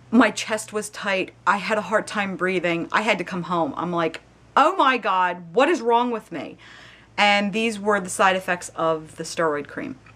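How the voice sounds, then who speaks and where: A woman talks at a fairly slow pace and a medium pitch. Her tone is bright, sharp and animated. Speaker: video blogger. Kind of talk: casual chat.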